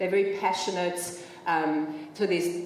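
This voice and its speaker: With noticeable background noise and audible room echo, a woman with a fairly low pitch speaks at a moderate pace. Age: 40s. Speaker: parenting educator and author. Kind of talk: panel discussion. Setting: stage with audience.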